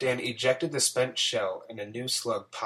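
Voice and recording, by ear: The passage is read aloud in a natural voice.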